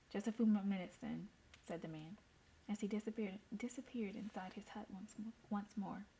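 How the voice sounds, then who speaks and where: A woman with an American accent talks at a fairly quick pace in a somewhat breathy, dark, mellow voice of medium pitch, her intonation fairly even but with big swings in loudness. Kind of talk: story reading. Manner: casual.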